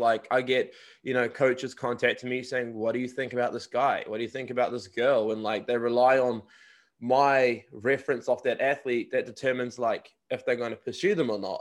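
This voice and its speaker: Speech comes at a fairly quick pace in a New Zealand accent. The recording is very clean, with a silent background. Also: man. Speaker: podcast host and college recruiting agent. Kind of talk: casual interview.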